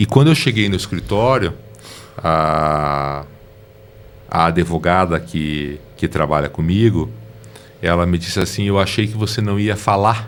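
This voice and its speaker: Lively intonation colors a man's fairly slow speech, with noticeable background noise behind it. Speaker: lawyer. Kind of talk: interview.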